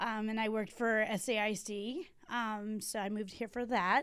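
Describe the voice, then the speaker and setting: A woman with an American accent has a plain, everyday voice. Her pitch is fairly high and her intonation fairly even. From Texas, Corpus Christi. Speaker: library branch manager. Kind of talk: podcast interview. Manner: casual, many fillers.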